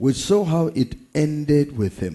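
The background stays quiet. His voice comes out somewhat breathy. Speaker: pastor. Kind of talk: prayer before sermon. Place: church. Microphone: headset.

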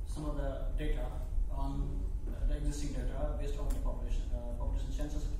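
A man's voice in strong room echo, with noticeable background noise. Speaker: keynote speaker. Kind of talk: lecture. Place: hall.

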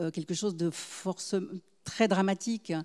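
Against a quiet background, a woman talks at a fairly slow pace. Her voice has a dark, mellow tone and a fairly low pitch. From Geneva, Switzerland. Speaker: novelist; guest. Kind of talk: literary discussion. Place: stage. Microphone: handheld.

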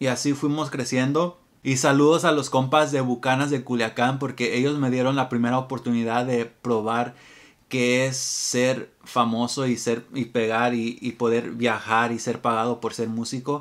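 At a fairly slow pace, a man speaks at medium pitch in a monotone, flat intonation against a quiet background. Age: 20s. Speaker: musician and music YouTuber; guitar teacher. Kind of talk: casual vlog monologue. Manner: unscripted, hesitant. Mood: reflective, relaxed. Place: home room.

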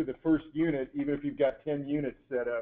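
The pace is fairly quick. It belongs to a man. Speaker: product specialist answering technical questions. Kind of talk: technical webinar Q&A. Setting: online webinar call.

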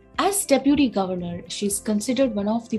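Music plays faintly behind the voice. The speaker is a woman. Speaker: guest. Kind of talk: introduction of a guest, read biography. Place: home room. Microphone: phone near.

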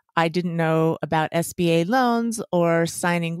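A woman with an American accent and an unremarkable speaking voice talks in a fairly low pitch with ordinary pitch variation, on a very clean recording with a silent background and a dry, close sound with no echo. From Las Vegas, US. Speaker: chiropractor and podcaster. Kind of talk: interview.

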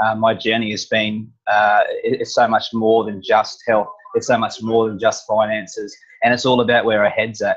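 A man talks at a moderate pace, with a quiet background behind him. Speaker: interviewer host. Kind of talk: interview question, casual chat. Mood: warm, appreciative. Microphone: earbuds.

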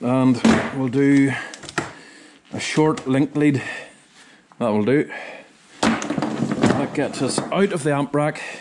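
A man with a Northern Irish accent speaks at a very slow pace with a fairly high pitch, ordinary pitch variation, long, frequent pauses and loud background noise. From Northern Ireland. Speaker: sound engineer. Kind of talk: vlog tutorial. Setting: equipment store. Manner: casual, halting. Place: workshop. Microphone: phone near.

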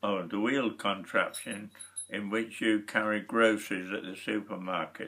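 With a Lincolnshire accent, this voice has a bright, sharp tone and moves at a fairly slow pace over a quiet background. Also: man. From Lincolnshire, England. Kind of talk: reading and answering questionnaire. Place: home room. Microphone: webcam.

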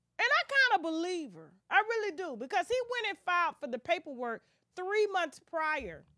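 A woman speaks in a raised, projected voice at an extremely high pitch, with very wide pitch swings and big swings in loudness. Her tone is animated, bright and sharp, and at a moderate pace the sound is dry with no echo over a quiet background. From US South, rural. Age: 40s. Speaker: celebrity gossip YouTuber. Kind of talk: casual chat. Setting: live stream. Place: studio. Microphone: studio mic.

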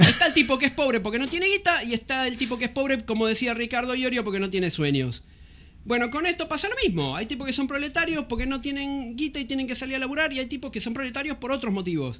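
Speaking very fast in a raised, projected voice, a man with an extremely high pitch shows ordinary pitch variation. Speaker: co-host reading chat. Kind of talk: casual chat. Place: studio. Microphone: studio mic.

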